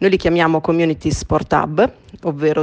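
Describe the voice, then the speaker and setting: Speaking at a moderate pace, a woman uses a very deep, low pitch. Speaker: sustainability consultant. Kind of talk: interview. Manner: hesitant, many fillers.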